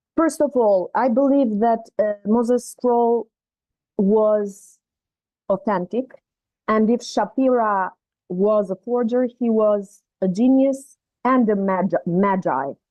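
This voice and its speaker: A woman with a non-native accent speaks at a fairly high pitch, with ordinary pitch variation and very even loudness. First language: not English. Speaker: participant. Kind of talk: casual group discussion. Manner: halting.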